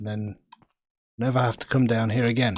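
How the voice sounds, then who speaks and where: In a Manchester accent, the voice carries a relaxed tone. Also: man. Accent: Northern England, Manchester. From England, grew up in various places. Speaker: gaming streamer. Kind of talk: casual gameplay commentary. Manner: relaxed, chatty with hesitations.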